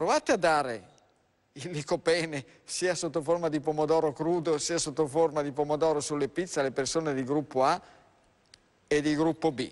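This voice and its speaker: Speaking at a moderate pace with fairly even intonation, a man with a fairly high pitch leaves long, frequent pauses. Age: 60s. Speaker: doctor. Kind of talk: live TV health talk show. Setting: TV studio.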